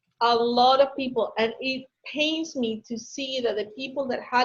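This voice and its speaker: Speaking at a moderate pace, a woman with a Spanish accent uses a high pitch. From Ecuador. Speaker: business consultant. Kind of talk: webinar Q&A.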